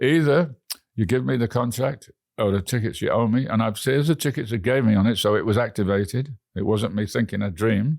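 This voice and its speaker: A man speaks with an English accent. His loudness stays very even throughout. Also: medium pitch for a man, ordinary pitch variation, fairly quick pace. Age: 80s+. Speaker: frequent flyer travel record holder. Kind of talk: interview. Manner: halting.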